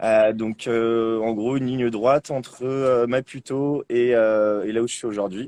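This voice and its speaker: The man's tone is dark and mellow, his intonation monotone and flat. He leaves hardly any pauses, in a dry, close sound with no echo. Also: medium pitch for a man, fairly slow pace. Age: 20s. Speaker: bicycle traveller. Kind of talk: interview. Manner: hesitant, many fillers.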